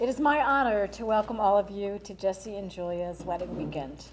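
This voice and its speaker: A woman's medium-pitched voice with lively intonation and big swings in loudness, over noticeable background noise. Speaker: mother of the groom giving a toast. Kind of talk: wedding rehearsal dinner speech. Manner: projecting loudly, animated.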